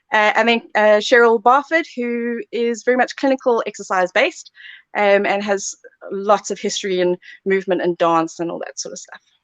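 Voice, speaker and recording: A woman with a South African accent speaks at a moderate pace and a fairly high pitch, her loudness swinging widely. The sound is dry and close with no echo, over a quiet background. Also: ordinary pitch variation. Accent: South African, noticeable. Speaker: sports therapy lecturer. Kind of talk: live Q&A.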